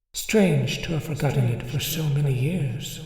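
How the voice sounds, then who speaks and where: A soft-spoken, put-on character voice at a low-to-middle pitch moves at a moderate pace with clear echo. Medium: read story. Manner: mild, quiet, solemn.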